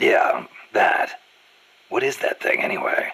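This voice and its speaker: A man's raspy put-on character voice, extremely high in pitch, at a fairly slow pace. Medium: video game. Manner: terse, gruff.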